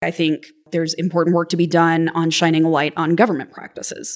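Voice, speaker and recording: A woman's voice sits fairly low in pitch. She talks very fast. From Kentucky (Lexington). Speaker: journalist, news radio program director. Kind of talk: casual interview.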